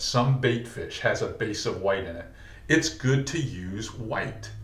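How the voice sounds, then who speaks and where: A man is speaking. There is audible room echo. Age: 60s. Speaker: fishing guide and instructor. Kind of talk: tutorial. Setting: tackle shop. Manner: casual, conversational.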